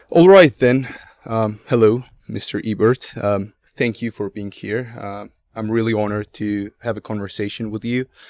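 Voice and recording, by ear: The man's pitch sits fairly low, with a slightly mellow tone. He keeps a moderate pace and ordinary pitch variation.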